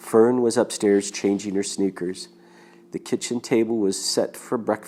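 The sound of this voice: The intonation stays fairly even. It is an unforced reading voice.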